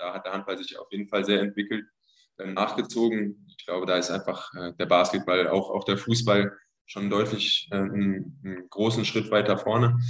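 A man's fairly low, monotone, flat voice at a moderate pace, with big swings in loudness. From Germany, near Wiesbaden (Hesse). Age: 20s. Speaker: professional handball player. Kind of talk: interview.

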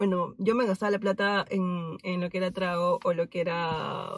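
In a very clean recording with a silent background and a dry, close sound with no echo, a woman speaks in a plain, everyday voice at a medium pitch and a fairly slow pace. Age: 20s. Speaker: friend of the host. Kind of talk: casual chat.

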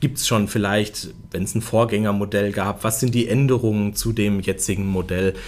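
A man with a normal speaking voice talks at a moderate pace and a fairly low pitch, his intonation fairly even and with hardly any pauses. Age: 30s. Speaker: automotive press spokesperson. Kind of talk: casual interview.

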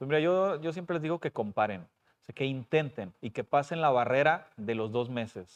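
Man with a plain, everyday voice, fairly high in pitch, with ordinary pitch variation and a moderate pace. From Puebla and Coahuila, Mexico. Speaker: school principal and personal trainer. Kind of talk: casual interview.

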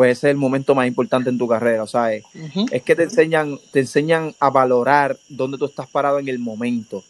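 With a Puerto Rican accent and medium pitch, a man talks at a fairly quick pace, the sound dry and close with no echo. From Puerto Rico, Dorado. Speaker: professional baseball pitcher. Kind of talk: interview.

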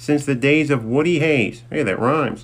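A man's ordinary speaking voice, pitched fairly high, its pitch shifting in a normal way. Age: 30s. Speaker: podcast host. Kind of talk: casual monologue. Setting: outdoors outside workplace.

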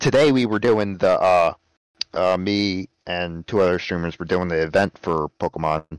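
His pitch is very deep and low, with ordinary variation. The man keeps a moderate pace, and the sound is dry and close with no echo. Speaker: podcast co-host. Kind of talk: casual chat.

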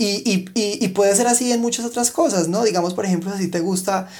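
The man speaks at a fairly quick pace. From Colombia, Pereira. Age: 20s. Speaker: professional dancer. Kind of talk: casual interview. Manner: hesitant, with many fillers and repetitions.

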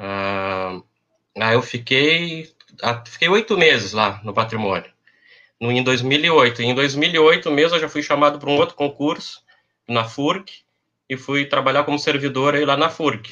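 A man with a southern Brazilian accent, fairly high pitch and lively intonation, at a fairly slow pace with long, frequent pauses. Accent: gaúcho Brazilian Portuguese. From Pelotas, southern Brazil. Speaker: university administrative staff. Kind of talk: casual chat.

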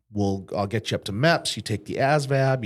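With an American accent, a man talks at a fairly quick pace in a normal speaking voice of medium pitch, captured in a very clean recording against a silent background. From western Massachusetts. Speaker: insurance agency owner, combat veteran. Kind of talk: interview conversation.

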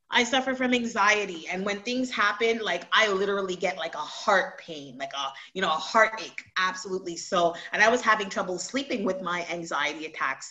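A woman of medium pitch with an unremarkable speaking voice, lively intonation and a moderate pace. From Montreal, Canada. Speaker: website creator and t-shirt designer. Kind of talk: casual interview.

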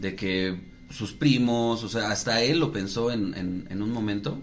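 A man speaks amid audible room echo. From Mexico. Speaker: podcast co-host. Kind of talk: casual chat. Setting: studio.

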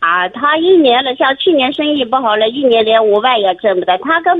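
Very wide pitch swings at a moderate pace. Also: woman. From Shanxi. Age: 50s. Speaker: primary school teacher, caller. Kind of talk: phone-in advice call. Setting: phone call.

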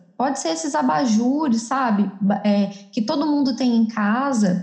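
Speaking at a fairly slow pace, a woman has a fairly high pitch and ordinary pitch variation. Audible room echo surrounds her voice. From southern Minas Gerais, Brazil. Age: 20s. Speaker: architect. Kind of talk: podcast interview.

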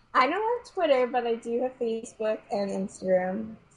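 A woman speaks. Her voice is somewhat breathy. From New York City (Queens). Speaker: ballet dancer. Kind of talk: interview.

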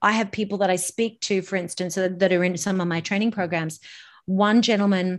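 With an Australian accent, a woman talks at a fairly quick pace against a quiet background. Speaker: voice and public speaking coach. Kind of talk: interview.

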